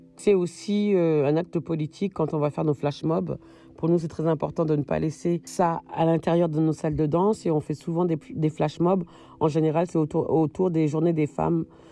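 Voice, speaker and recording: This woman's voice has a very deep, low pitch and a dark, mellow tone, and its loudness stays very even. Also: fairly even intonation, moderate pace. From France, Malian family. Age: 40s. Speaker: dancer and stage director. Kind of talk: interview answers. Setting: remote recording. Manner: laughs often.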